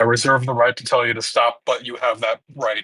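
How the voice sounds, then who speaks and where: A man speaks in a raspy, put-on character voice at medium pitch and a fairly quick pace. His loudness swings widely from moment to moment. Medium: actual play.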